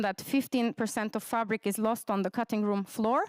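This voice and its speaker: A woman's fairly high voice with a Turkish accent, dry and close with no echo, in a very clean recording against a silent background. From Turkey. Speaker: researcher. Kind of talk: conference presentation. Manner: hesitant, many fillers.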